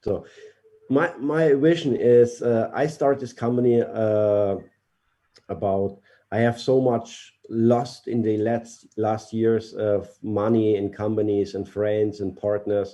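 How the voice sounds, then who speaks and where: Over a quiet background, a dark, mellow voice with a German accent moves very slowly with ordinary pitch variation. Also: man, medium pitch for a man. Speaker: company CEO. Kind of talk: interview answers. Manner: halting, hesitant English.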